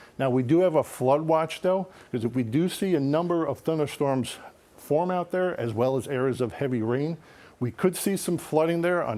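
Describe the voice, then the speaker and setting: This man has a fairly high pitch and a dark, mellow tone. His pace is moderate, with ordinary pitch variation. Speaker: TV meteorologist. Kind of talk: TV weather forecast.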